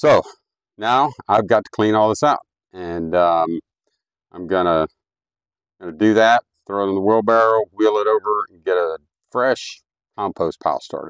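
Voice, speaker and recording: With an American accent, a man talks at a moderate pace and fairly low pitch, using ordinary pitch variation, big swings in loudness and long, frequent pauses, in a dry, close sound with no echo. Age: 60s. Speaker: homesteader. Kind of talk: tutorial. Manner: casual, halting with fillers.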